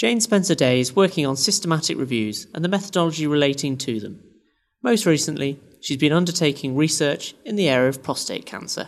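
Fairly quick and lively in intonation, a man talks with a plain, everyday voice. His pitch is fairly high, and the background is quiet. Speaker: podcast host. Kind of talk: interview.

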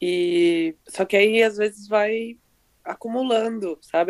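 The sound is dry and close, free of any echo. A woman talks with fairly even intonation. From Brazil. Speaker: author and marketing professional. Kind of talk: interview. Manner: run-on sentences.

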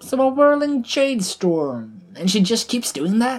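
In a put-on character voice, a woman speaks fairly slowly at a fairly high pitch, with big pitch swings, a slightly mellow tone and a slightly husky edge.

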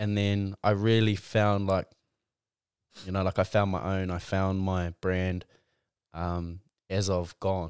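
A man with a New Zealand accent speaks in a very deep, low pitch and a monotone, flat intonation, at a very slow pace with long, frequent pauses. The recording is very clean and dry, close with no echo, over a silent background. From New Zealand, Mount Maunganui, Tauranga. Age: 20s. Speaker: rugby player and clothing brand founder. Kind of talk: casual chat.

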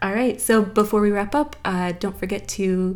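A woman with an American accent has a normal speaking voice. She keeps a moderate pace and fairly even intonation. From US South. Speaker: podcast host. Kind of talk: casual conversation.

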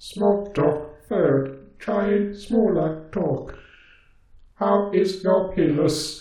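A man's put-on character voice, high-pitched and very slow, with a slight echo. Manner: stilted, literal, machine-like phrasing.

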